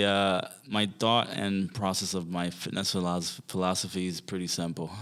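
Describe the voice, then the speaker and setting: With a Haitian accent, a man speaks at a moderate pace in a very deep, low pitch and fairly even intonation. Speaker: fitness trainer. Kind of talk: interview conversation. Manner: hesitant, many fillers.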